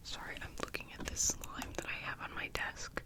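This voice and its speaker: A woman is whispering. Noticeable background noise can be heard behind her. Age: young. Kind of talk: ASMR ramble. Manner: whispered; chatty.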